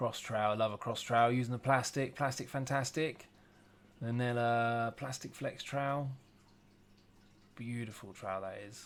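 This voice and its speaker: With an English accent, the speaker keeps a fairly even intonation but has big swings in loudness and long, frequent pauses. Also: man, medium pitch for a man, moderate pace. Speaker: former plasterer, DIY video maker. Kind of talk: voiceover commentary. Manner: casual, halting.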